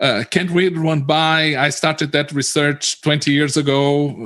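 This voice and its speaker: A man talks at a moderate pace with a Portuguese accent. His pitch is fairly high. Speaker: localization industry analyst. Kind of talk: panel discussion. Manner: halting, many repetitions.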